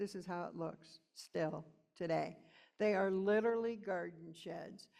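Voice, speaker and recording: A woman speaks at a moderate pace and medium pitch with ordinary pitch variation. Hers is an unremarkable speaking voice. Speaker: rural community speaker. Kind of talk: conference presentation.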